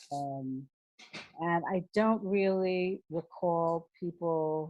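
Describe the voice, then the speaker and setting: A woman speaks in a very deep, low voice with a dark, mellow tone and ordinary pitch variation. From New York, the Bronx. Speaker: former professional dancer. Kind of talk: oral history interview answer.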